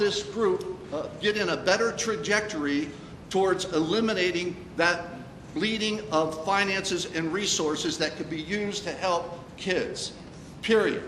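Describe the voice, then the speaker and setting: A man speaks at a fairly slow pace in a high voice with ordinary pitch variation. Room echo is audible, along with noticeable background noise. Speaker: school board member at community forum. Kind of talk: community forum Q&A. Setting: meeting room with audience. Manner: halting, many fillers; loud, fired up.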